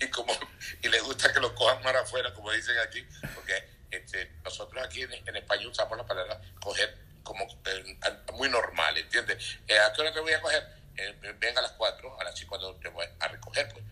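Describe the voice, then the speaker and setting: Moderate pacing from a male speaker, noticeable background noise behind him. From Venezuela, eastern (Puerto Ordaz). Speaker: comedian. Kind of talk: casual interview.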